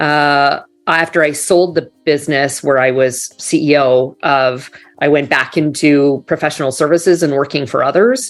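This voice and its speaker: With a slight Canadian accent, a woman speaks at a moderate pace in a very deep, low pitch with ordinary pitch variation. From Canada. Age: 40s. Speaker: business executive. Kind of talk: interview conversation.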